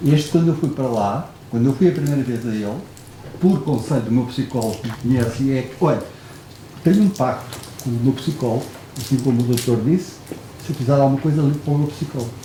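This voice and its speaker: A man speaks very fast at a medium pitch with ordinary pitch variation, yet leaves long, frequent pauses. Noticeable background noise and audible room echo are present. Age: 60s. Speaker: audience member. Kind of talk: audience question. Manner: halting.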